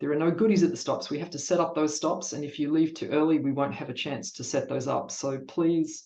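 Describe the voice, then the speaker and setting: Fairly quick speech from a man, pitched fairly high and varying in an ordinary way. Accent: Australian. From Australia. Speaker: cycling event ride leader. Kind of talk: online presentation.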